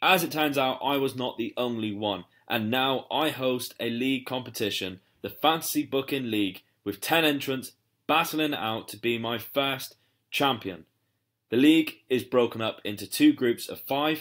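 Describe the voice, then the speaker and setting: Recorded very cleanly against a silent background, a man talks at a medium pitch with a British accent. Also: ordinary pitch variation, moderate pace. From UK. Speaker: wrestling podcast host. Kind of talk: podcast intro. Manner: animated.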